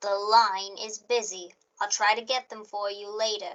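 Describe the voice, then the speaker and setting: A woman uses a put-on character voice at medium pitch and a moderate pace, in a monotone with flat intonation. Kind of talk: 1940s radio acting. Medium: audio drama. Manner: flat, formal, detached.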